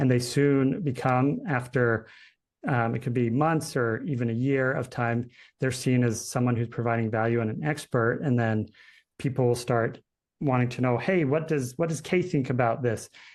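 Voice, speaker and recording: A man with a plain, everyday voice speaks at a moderate pace in an American accent. His medium pitch shows ordinary variation. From Utah. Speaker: founder of a publishing services company, webinar presenter. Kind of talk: webinar Q&A. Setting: online webinar. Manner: conversational, with many fillers.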